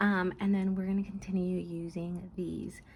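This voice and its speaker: A soft-spoken woman at a moderate pace. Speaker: budgeting YouTuber. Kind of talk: casual chat. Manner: hesitant, many fillers.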